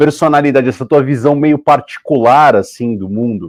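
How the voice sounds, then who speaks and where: Over a quiet background, a man speaks at a moderate pace in a plain, everyday voice. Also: dry, close sound with no echo. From Brazil. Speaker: podcast host. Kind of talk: interview conversation.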